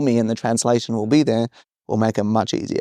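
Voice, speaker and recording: Talking at a very fast pace in an Australian accent, a man has a dark, mellow tone, recorded dry and close with no echo on a very clean track with a silent background. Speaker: podcast guest. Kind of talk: casual chat.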